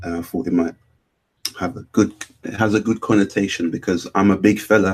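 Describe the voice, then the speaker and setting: A man with a British accent speaks at a fairly quick pace, his pitch fairly low and his intonation fairly even. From North London (Camden). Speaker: animator and artist. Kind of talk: casual interview.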